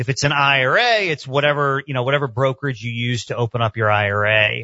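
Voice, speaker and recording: Using an unremarkable speaking voice, a man with a medium pitch talks at a fairly quick pace. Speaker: attorney, accountant and financial planner. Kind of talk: interview.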